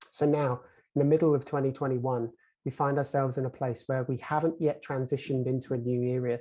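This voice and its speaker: Against a quiet background, a man with an English accent talks very fast in a dark, mellow tone, his medium-pitched voice flat and monotone. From England. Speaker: conference moderator. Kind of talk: panel introduction. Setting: video call.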